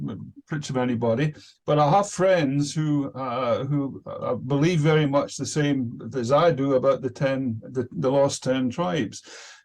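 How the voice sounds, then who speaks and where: A man with a Scottish accent, fairly high pitch and ordinary pitch variation. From Scotland. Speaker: participant in religious discussion group. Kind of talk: self-introduction in online meeting. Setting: video call. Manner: hesitant, many fillers.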